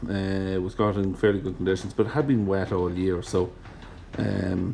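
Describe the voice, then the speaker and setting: In an Irish accent, a man talks at a fairly quick pace with a fairly low pitch and a dark, mellow tone. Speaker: farmer. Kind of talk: farm vlog voiceover. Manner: casual.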